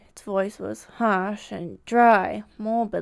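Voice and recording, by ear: The passage is read aloud in a natural voice.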